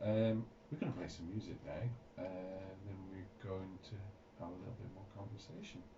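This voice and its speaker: With noticeable background noise and audible room echo, a man talks at a moderate pace in a very deep, low pitch with fairly even intonation. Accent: Northern Irish. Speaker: radio host. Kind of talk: radio interview. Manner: halting, many fillers.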